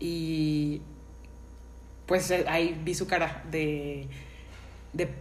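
In a room with audible echo, a woman speaks at a very deep, low pitch with monotone, flat intonation. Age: 20s. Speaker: graphic designer, podcast host. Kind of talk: casual chat.

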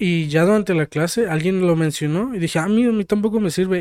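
On a very clean recording with a silent background, a man with a Mexican accent speaks with ordinary pitch variation. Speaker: podcast co-host. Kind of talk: casual chat.

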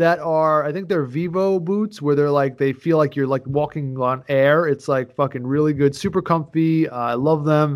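Hardly pausing, a man speaks at a moderate pace with a fairly high pitch and ordinary pitch variation. His tone is animated, and the recording is very clean with a silent background. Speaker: podcast host. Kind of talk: casual chat.

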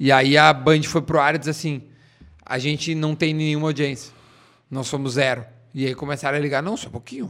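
A man with a fairly high pitch speaks at a fairly quick pace with fairly even intonation, leaving long, frequent pauses. The recording is very clean, with a silent background. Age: 30s. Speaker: radio and TV personality. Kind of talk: casual chat.

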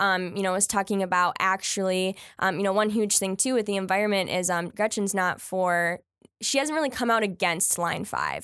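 This woman has an unremarkable speaking voice, medium in pitch with ordinary pitch variation, moving at a fairly quick pace on a very clean recording with a silent background. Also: very even loudness. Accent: American. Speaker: university student and campus women's group president. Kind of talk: casual political discussion.

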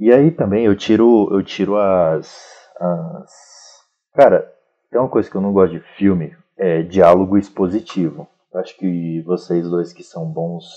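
The loudness swings widely while the pitch varies in an ordinary way. The pace is fairly slow. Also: man, very deep, low pitch for a man. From Brazil, Federal District (Sobradinho). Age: 20s. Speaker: fiction writer. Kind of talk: casual chat.

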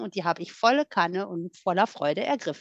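An ordinary speaking voice from a woman, with lively intonation at a moderate pace. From Rhineland, western Germany (Voreifel near Bonn). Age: 40s. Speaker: guest sharing recovery story. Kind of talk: testimony.

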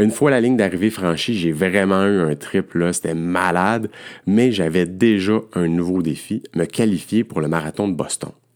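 A man with a very deep, low pitch speaks at a moderate pace with ordinary pitch variation in a very clean recording with a silent background. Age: 50s. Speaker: endurance coach. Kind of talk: podcast monologue.

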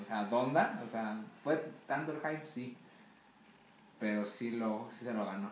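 A woman speaks with a very deep, low pitch and long, frequent pauses. Noticeable background noise and audible room echo are present. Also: ordinary pitch variation, fairly slow pace. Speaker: guest. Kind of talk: casual chat.

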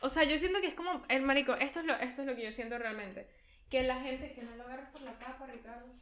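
A woman with a Caracas accent talks at a very fast pace and a high pitch. Her loudness swings widely. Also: ordinary pitch variation. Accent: Venezuelan Spanish (Caracas). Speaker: podcast co-host. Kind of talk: casual chat.

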